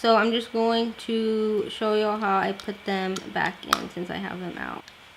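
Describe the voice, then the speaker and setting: A woman speaks at a fairly slow pace in a fairly high, flat monotone, with noticeable background noise. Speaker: beauty and lifestyle vlogger. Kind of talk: casual vlog talk. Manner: casual, filler-heavy.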